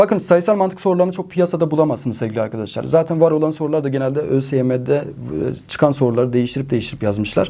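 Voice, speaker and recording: Dark and mellow in tone, a man's voice moves through very wide pitch swings. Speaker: math teacher. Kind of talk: exam advice talk to students. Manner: animated, encouraging.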